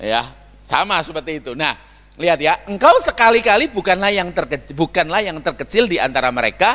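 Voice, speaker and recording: A raised, projected voice with an animated tone that sounds bright and sharp. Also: man. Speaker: guest preacher. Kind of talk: sermon. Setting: church. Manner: loud.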